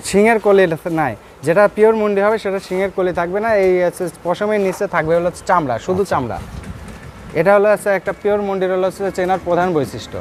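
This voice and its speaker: The speaker uses ordinary pitch variation over noticeable background noise. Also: man, high pitch for a man. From Bangladesh, Pabna district. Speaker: cattle farmer and heifer trader. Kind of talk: sales pitch.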